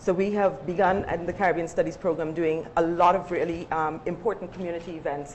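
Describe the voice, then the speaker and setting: A woman talks at a fairly quick pace. Her pitch is fairly low. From Guyana. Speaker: university lecturer, panelist. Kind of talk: panel discussion.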